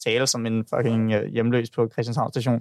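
A man speaks at a medium pitch and a fairly quick pace. The sound is dry and close, with no echo. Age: 20s. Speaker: podcast guest. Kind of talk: casual chat. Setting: studio. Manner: halting.

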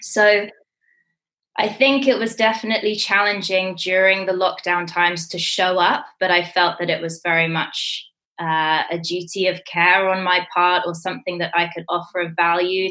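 A bright, sharp tone with fairly even intonation. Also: woman. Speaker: yoga teacher and business mentor. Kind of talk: interview.

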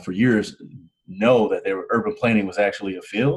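A man with a normal speaking voice and an American accent, at a fairly quick pace. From US Midwest, Canton, Ohio. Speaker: urban planner and podcaster. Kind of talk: interview.

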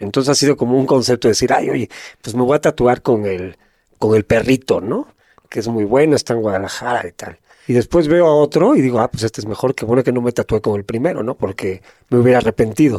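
A man's medium-pitched voice at a very fast pace, with ordinary pitch variation and a dry, close sound with no echo. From northern Spain, Gijón, Asturias. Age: 50s. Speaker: former prisoner turned entrepreneur. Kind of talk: casual interview chat.

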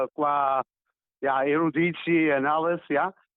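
Fairly even intonation from a man with a fairly high pitch. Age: 60s. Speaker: visual artist. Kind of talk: interview. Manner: halting.

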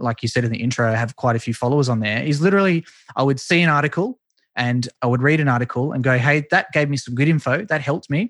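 A man at a very fast pace and medium pitch, in a dry, close sound with no echo and a quiet background. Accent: Australian. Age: 20s. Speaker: esports marketing consultant. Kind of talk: interview.

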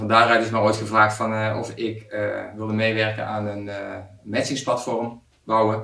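Long, frequent pauses break up a man's fairly slow speech. His pitch is fairly low, and his intonation is monotone and flat. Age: 40s. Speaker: software product owner. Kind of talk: interview. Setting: office meeting room.

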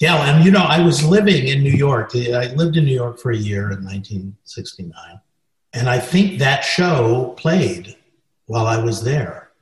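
Speaking fairly slowly in a General American accent, a man with a somewhat breathy, medium-pitched voice swings very widely in pitch. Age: 70s. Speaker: film and stage director. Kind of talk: interview, recounting anecdotes.

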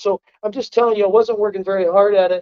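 Speaking at a very fast pace, a man with an American accent has a high voice. His intonation stays fairly even. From Ohio, US Midwest. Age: 40s. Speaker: coon hunting league founder, contractor. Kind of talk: podcast interview.

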